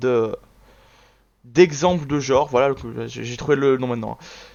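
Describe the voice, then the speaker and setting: A man at a fairly quick pace, fairly high in pitch, with ordinary pitch variation. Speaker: gaming YouTuber. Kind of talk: casual video commentary. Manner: fast.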